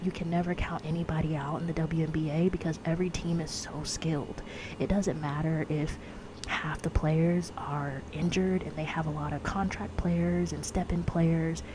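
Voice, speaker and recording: Soft-spoken and monotone, a woman talks at a moderate pace with a very deep, low pitch. Noticeable background noise runs underneath. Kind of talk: ASMR ramble, casual talk to camera.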